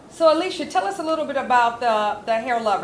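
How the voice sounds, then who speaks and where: Noticeable background noise fills the recording. Over it, a woman talks very fast. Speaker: talk show host. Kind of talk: live talk show. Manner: animated.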